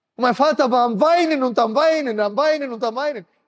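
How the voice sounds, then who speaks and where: Against a quiet background, a man speaks at a fairly quick pace with lively intonation. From Germany. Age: 30s. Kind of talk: sermon. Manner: emotional, impassioned. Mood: emotional, animated. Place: hall. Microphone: handheld.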